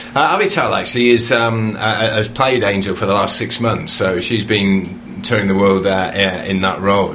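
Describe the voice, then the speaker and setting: Amid noticeable background noise, a man talks at a fairly low pitch. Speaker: playwright. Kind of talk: radio interview chat.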